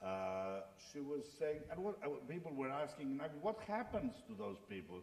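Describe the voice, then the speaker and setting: Speaking with a Greek accent, a man makes very wide pitch swings against audible room echo. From Greece. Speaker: writer, former mathematician; speaker. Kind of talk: panel discussion. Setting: stage with audience. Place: hall. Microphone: podium.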